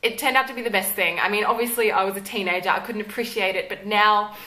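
A woman with an Australian accent speaks with fairly even intonation. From Tasmania, Australia. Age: 20s. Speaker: YouTuber. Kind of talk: casual talk to camera. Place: home room.

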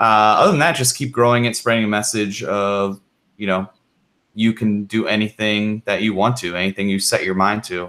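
With a normal speaking voice, a man talks at a moderate pace, fairly low in pitch and with fairly even intonation. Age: 30s. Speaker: mountain biker with prosthetic arm, YouTuber. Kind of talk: casual live stream chat. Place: home room. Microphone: studio mic.

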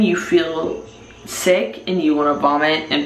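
A woman's voice with audible room echo and light background noise. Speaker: vlogger. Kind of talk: casual vlog chat. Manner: slow, slurred drunk talk. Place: bathroom. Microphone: phone near.

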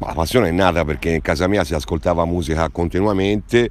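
A man's very deep, low voice at a fairly quick pace, with ordinary pitch variation and a dry sound free of echo. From Tuscany, Val di Sieve near Florence; Tuscany. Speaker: jazz trumpeter and music teacher; music teacher. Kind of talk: interview. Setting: outdoors in a park. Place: garden.

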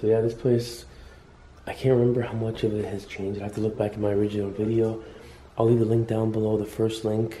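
Very fast male speech, monotone and flat, over light background noise. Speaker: urban explorer vlogger. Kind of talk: casual vlog chat. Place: home room. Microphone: phone near.

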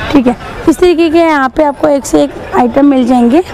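Faint crowd noise and faint background noise sit behind a woman talking at a fairly quick pace, her high-pitched voice carrying a dark, mellow tone. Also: ordinary pitch variation.

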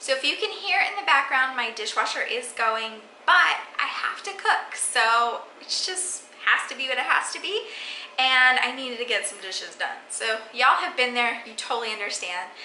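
A woman speaks in a high voice with big swings in loudness. Light background noise and audible room echo are present. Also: moderate pace. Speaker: home cooking vlogger. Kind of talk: casual vlog chat. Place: kitchen. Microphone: phone near.

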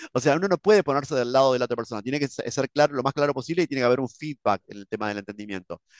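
Speaking at a very fast pace with hardly any pauses, a man shows big swings in loudness and ordinary pitch variation. The sound is dry with no echo, and the background is quiet. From Argentina, Buenos Aires. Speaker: English teacher, YouTuber. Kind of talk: reaction video commentary; reaction commentary. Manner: halting, many fillers and repetitions. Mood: opinionated, disagreeing. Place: home room.

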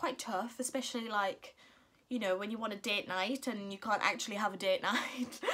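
A woman speaks with a bright, sharp tone and fairly high pitch. Her intonation stays fairly even. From Northern England. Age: 20s. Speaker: mum vlogger. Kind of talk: casual talk to camera. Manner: chatty, hesitant. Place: home room. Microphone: phone near.

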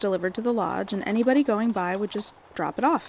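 Speaking at a very fast pace, a woman talks with a fairly high pitch. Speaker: librarian narrating stories. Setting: recorded video for a library channel. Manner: warm, friendly and upbeat in the intro and outro.

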